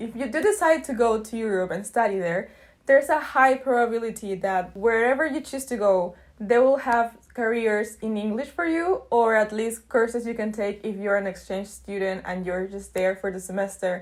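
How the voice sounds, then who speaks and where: On a very clean recording with a silent background, a speaker with a Spanish accent talks at a moderate pace with ordinary pitch variation. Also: woman, fairly high pitch for a woman. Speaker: YouTuber, student. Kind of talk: casual vlog talk.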